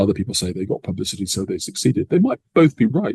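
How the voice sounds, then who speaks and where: A man with an English accent talks very fast in a somewhat breathy voice, the sound dry and close with no echo. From England. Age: 60s. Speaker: professor. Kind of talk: interview. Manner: measured.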